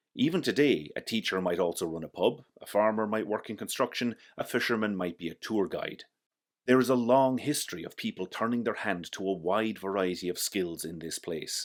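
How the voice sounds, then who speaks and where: On a very clean recording with a silent background, a man with a West of Ireland accent speaks at a fairly quick pace in a fairly low pitch with ordinary pitch variation. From West Clare, Ireland. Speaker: architect. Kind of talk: personal reflective narration to camera.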